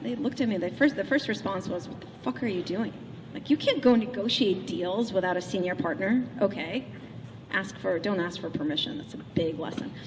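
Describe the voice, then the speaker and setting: A woman's medium-pitched voice at a fairly quick pace, with very wide pitch swings and noticeable background noise. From Russia, St. Petersburg. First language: Russian. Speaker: keynote speaker. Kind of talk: keynote speech. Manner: animated.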